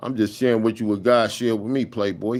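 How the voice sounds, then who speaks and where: Speaking fairly quickly, a man holds a medium pitch that varies in an ordinary way. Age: 60s. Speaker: livestreamer sharing religious thoughts. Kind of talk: livestream monologue. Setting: live stream. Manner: animated.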